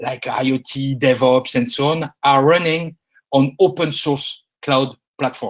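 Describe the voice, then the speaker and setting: In a French accent, a man speaks at a fairly slow pace against a quiet background. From France. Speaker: industry analyst. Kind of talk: webinar presentation. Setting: online webinar. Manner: hesitant, many filler sounds.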